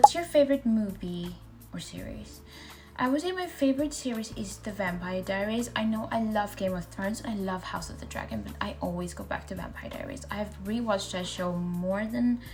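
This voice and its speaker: Music plays in the background, and there is audible room echo. A woman speaks at a moderate pace. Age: 20s. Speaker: lifestyle vlogger. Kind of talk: casual Q&A vlog.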